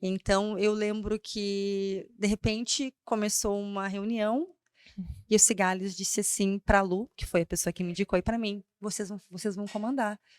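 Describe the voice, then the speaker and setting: Her medium-pitched voice moves at a fairly slow pace with fairly even intonation, the woman's sound dry and close with no echo. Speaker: brand strategist and speaker. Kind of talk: podcast interview. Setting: studio. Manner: loud at times.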